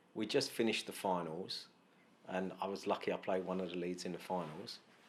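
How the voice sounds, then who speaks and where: A man talks with a London accent. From East London, England, Glaswegian family. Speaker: actor. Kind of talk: casual chat.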